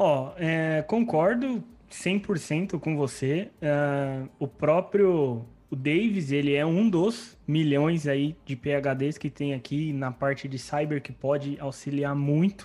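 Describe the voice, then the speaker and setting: On a very clean recording with a silent background, a man speaks very slowly at a fairly high pitch with ordinary pitch variation. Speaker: podcast host. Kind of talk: podcast interview.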